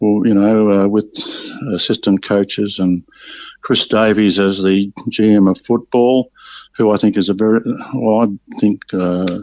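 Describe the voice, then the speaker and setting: An Australian accent from a man, monotone and flat, fairly slow, with very even loudness and long, frequent pauses. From Victoria, Australia (Bendigo). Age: 70s. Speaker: retired football player. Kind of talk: interview. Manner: halting, many fillers.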